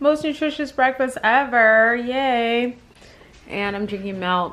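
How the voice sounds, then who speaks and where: Fairly high-pitched woman's voice with ordinary pitch variation over noticeable background noise. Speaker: vlogger. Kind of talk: casual vlog. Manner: quiet.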